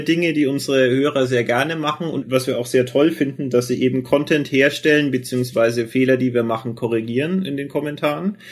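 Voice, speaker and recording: This man has a Franconian accent. He talks at a fairly quick pace and a medium pitch. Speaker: podcast co-host. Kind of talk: casual chat.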